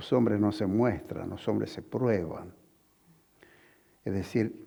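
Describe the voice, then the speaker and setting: With a dark, mellow tone and fairly low pitch, a man talks at a very slow pace with fairly even intonation. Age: 80s+. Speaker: veteran politician. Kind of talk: interview.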